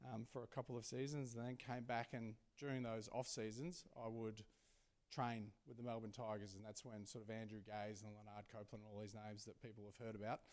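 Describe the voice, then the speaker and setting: A man with an Australian accent, medium pitch and a fairly quick pace. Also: fairly even intonation. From Australia, rural Victoria. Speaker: sports team CEO and former basketball player. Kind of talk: Q&A interview at a live event. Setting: stage with audience.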